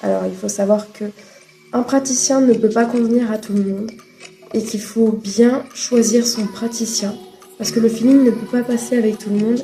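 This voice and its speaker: Music plays in the background as a woman with a fairly high pitch talks at a moderate pace in a monotone, flat intonation. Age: 20s. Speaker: vlogger sharing mental health experience. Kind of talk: personal vlog testimony.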